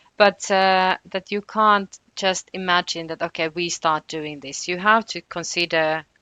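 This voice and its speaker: A woman with a Finnish accent speaks at a fairly slow pace in a fairly low pitch, her intonation fairly even but her loudness swinging widely. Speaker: housing researcher. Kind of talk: podcast interview. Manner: hesitant, many fillers.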